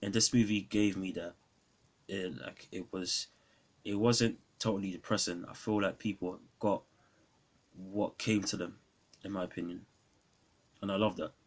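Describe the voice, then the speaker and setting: With a London accent, a man at fairly low pitch speaks at a moderate pace with fairly even intonation and long, frequent pauses. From London, England. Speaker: film reviewer YouTuber. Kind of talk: casual film review vlog. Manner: hesitant, many fillers.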